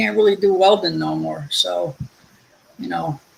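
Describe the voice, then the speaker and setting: Talking at a fairly slow pace, a man speaks with a New Jersey accent. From New Jersey, Linden. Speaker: guest, retired welder. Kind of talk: casual chat. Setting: live stream.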